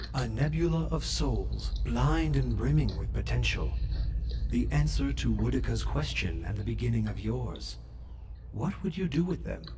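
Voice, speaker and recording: Loud background noise sits behind a man doing a put-on character voice at a moderate pace. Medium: video game. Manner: cryptic, measured, poetic.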